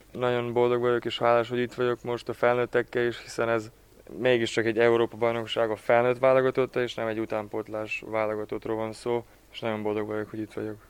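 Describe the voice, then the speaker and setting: A man speaks very fast in a monotone, flat intonation. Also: medium pitch for a man. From Ada, Vojvodina, Serbia. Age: 20s. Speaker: handball player. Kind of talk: interview. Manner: halting, repeats words.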